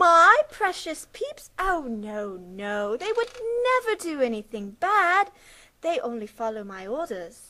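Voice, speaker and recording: Putting on a cartoonish character voice, a woman speaks high and fairly slowly, her pitch swinging very widely. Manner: falsely sweet, then angry.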